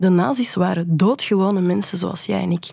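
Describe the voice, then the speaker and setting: A woman with a dark, mellow tone, medium pitch and a moderate pace. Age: 40s. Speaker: illustrator and historian. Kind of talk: radio interview. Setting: radio studio. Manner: halting, many repetitions.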